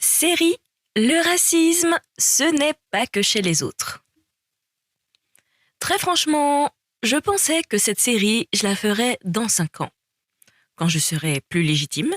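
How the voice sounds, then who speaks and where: A woman's high-pitched voice at a very slow pace, with very wide pitch swings, long, frequent pauses and very even loudness. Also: dry, close sound with no echo. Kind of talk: series trailer narration. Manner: dynamic, conversational.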